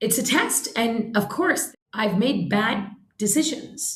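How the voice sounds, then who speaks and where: Spoken at a very slow pace, this voice is somewhat breathy and carries an American accent. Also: woman. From US, New York City. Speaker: social entrepreneur. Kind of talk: podcast interview. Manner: animated.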